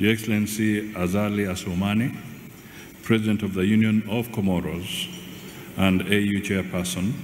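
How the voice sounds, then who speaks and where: With light background noise and audible room echo, a man with a fairly low pitch talks at a moderate pace in fairly even intonation. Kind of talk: formal speech. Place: hall. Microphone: podium.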